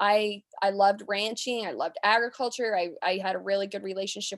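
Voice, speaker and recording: On a very clean recording with a silent background, a woman speaks at a medium pitch in a monotone, flat intonation. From US West, southern Utah. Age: 30s. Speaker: rancher. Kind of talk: interview.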